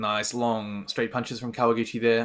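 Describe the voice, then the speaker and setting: The voice belongs to a man. Its tone is bright and sharp. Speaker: martial arts commentator. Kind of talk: live commentary. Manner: fast.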